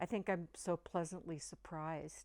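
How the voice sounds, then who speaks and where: In a very clean recording with a silent background, a woman with an American accent talks at a fairly low pitch with fairly even intonation. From Oregon, US Pacific Northwest. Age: 60s. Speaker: resort guest, nurse and small business owner. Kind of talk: testimonial interview. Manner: halting, with false starts.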